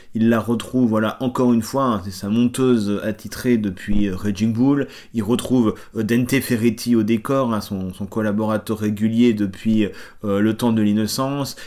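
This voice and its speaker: In a dark, mellow tone, a man with a fairly low voice speaks at a moderate pace with flat, monotone intonation. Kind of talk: interview, analytical commentary.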